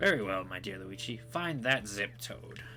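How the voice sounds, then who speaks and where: Putting on a character voice, a man speaks at medium pitch and a moderate pace against clear background noise. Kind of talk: comic overacting. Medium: solo performance. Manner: pompous, formal.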